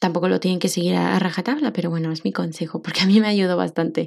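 A woman is speaking. Her tone is dark and mellow. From Mexico. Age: 20s. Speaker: podcast host and social worker. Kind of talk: personal monologue podcast.

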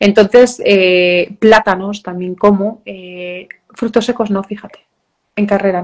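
This woman's medium-pitched voice is monotone and flat, with big swings in loudness. She speaks at a fairly slow pace, leaving long, frequent pauses. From Galicia, Spain (Vigo). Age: 40s. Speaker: professional trail runner. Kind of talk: interview.

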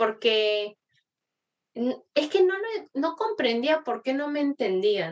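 A woman's high voice, very slow, with very wide pitch swings. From Argentina. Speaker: guest. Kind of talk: casual chat.

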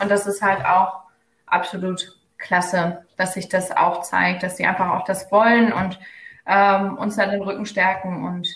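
The intonation is monotone and flat. Speech moves at a fairly slow pace with long, frequent pauses. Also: woman. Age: 20s. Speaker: psychology student and local party spokesperson. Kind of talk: casual interview. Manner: hesitant, many fillers.

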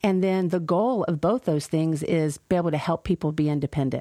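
A woman speaks fairly quickly with a slight Southern US accent, at a fairly low pitch with ordinary pitch variation and a dark, mellow tone. The sound is dry and close with no echo, over a quiet background. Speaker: meal program manager. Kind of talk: casual interview.

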